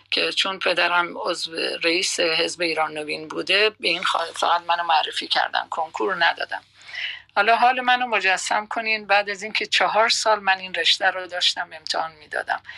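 A woman's medium-pitched voice with ordinary pitch variation amid noticeable background noise. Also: moderate pace. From Iran, Khuzestan (Masjed Soleyman). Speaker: retired radio journalist. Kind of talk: life story interview. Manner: calm, soothing.

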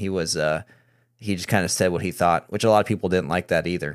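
Very fast speech comes from a man with an American accent. His pitch is very deep and low, and the sound is dry and close, with no echo. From US Midwest. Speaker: podcast host. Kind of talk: casual political discussion.

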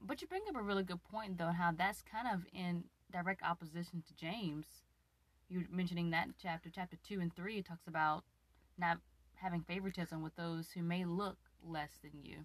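A woman with a normal speaking voice talks at a moderate pace, her fairly low pitch paired with big swings in loudness and fairly even intonation. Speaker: host's wife, guest interviewer. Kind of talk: casual chat. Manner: playful, teasing.

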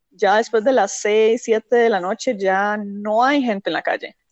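This is a woman with a plain, everyday voice and a fairly high pitch. She talks at a fairly slow pace with ordinary pitch variation. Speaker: environmental engineer, urban planner. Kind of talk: interview.

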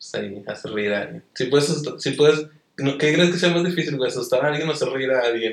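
A man with a Mexican accent talks at a very fast pace. His pitch is fairly high, with ordinary pitch variation. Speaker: YouTuber and podcast host. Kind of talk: casual chat.

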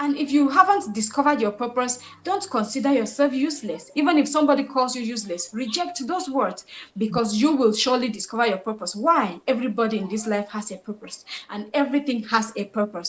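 The speech runs at a very fast pace with lively intonation over noticeable background noise. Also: woman, fairly high pitch for a woman. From Cameroon. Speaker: purpose discovery coach and entrepreneur. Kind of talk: podcast interview. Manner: animated, exhortative.

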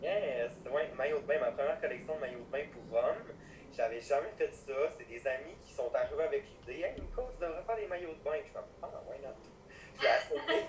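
A man at a moderate pace with big swings in loudness, over noticeable background noise. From Quebec, Lac-Saint-Jean. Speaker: nurse and fashion designer. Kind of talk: casual interview.

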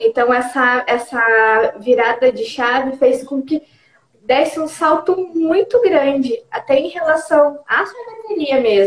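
A woman speaks at a very slow pace. Her voice is high-pitched, with lively intonation. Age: 30s. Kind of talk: interview. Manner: halting. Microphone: connection freezing.

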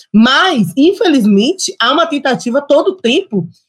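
This woman's voice sits high in pitch and moves through very wide pitch swings. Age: 30s. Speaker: lawyer and city councillor. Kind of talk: panel discussion.

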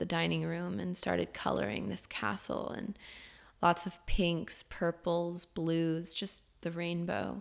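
A woman speaks at a fairly slow pace in an animated, calm tone. The recording is very clean, with a silent background. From US South, Florida. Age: 30s. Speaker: podcast host and spiritual coach. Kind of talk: personal storytelling monologue; guided meditation. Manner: animated, laughing often; slow and calm.

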